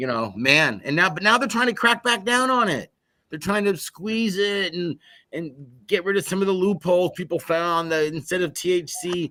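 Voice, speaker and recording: This man speaks at a high pitch with lively intonation, on a very clean recording with a silent background. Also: moderate pace. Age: 60s. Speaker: podcast host. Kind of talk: casual chat.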